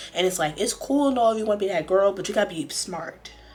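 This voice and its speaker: A woman's animated, medium-pitched voice with lively intonation at a fairly quick pace, music playing behind her. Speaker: reality TV commentator. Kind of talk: casual talk to camera. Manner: chatty, animated.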